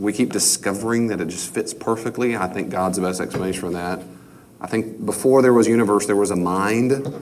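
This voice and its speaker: Speech in an American accent comes at a fairly quick pace with ordinary pitch variation and audible room echo. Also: man. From New York. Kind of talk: lecture. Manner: conversational, repetitive.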